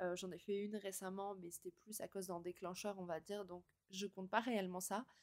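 A woman with a medium pitch speaks at a moderate pace on a very clean recording with a silent background. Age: 20s. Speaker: podcast host. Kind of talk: casual monologue. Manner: spontaneous, with hesitations.

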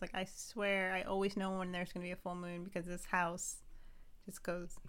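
This woman has a normal speaking voice, medium in pitch. She talks at a fairly quick pace with fairly even intonation. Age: 30s. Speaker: podcast co-host. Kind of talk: casual chat.

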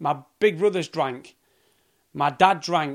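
A man speaks with a Yorkshire accent and ordinary pitch variation. The recording is very clean, with a silent background. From South Yorkshire, England. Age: 30s. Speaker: podcaster on sobriety and addiction. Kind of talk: solo rant monologue. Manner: casual, animated.

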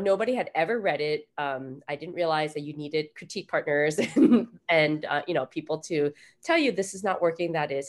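Speaking at a fairly quick pace with very wide pitch swings, a woman with an American accent is heard on a very clean recording against a silent background. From Taiwan-born, grew up in the US. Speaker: author. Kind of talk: interview.

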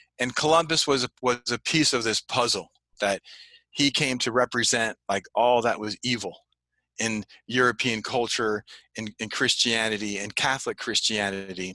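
With a bright, sharp tone at a medium pitch, a man speaks at a moderate pace with ordinary pitch variation, the sound dry and close with no echo and the background quiet. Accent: Californian. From California, Santa Ana. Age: 50s. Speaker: history teacher and writer. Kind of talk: interview.

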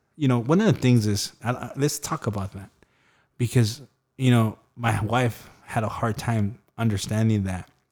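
Over a very clean recording with a silent background, a man with an unremarkable speaking voice talks at a moderate pace with ordinary pitch variation. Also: medium pitch for a man. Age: 40s. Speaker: podcast host and entrepreneur. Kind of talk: casual interview chat.

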